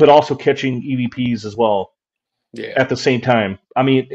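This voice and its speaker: A man talks in an ordinary speaking voice with an American accent. His pitch is medium and his intonation fairly even. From West Virginia. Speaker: paranormal investigator. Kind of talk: casual interview.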